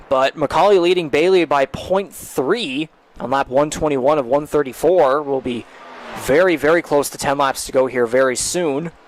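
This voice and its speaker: Noticeable background noise surrounds a man speaking at fairly high pitch. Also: ordinary pitch variation, moderate pace. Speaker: sim racing commentator. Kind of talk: live commentary.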